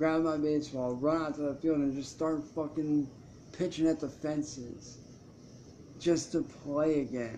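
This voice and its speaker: A man speaks at a fairly slow pace in a fairly high voice with a dark, mellow tone. His delivery is monotone and flat, with light background noise. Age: 20s. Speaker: YouTuber and musician; YouTuber. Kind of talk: live stream monologue. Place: home room. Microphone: webcam.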